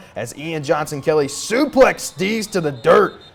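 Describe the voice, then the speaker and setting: Energetic in tone, a man speaks at a high pitch and moderate pace over noticeable background noise. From Kentucky. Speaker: sports anchor and reporter. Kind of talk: high school sports play-by-play highlight narration. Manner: energetic, punchy, quippy.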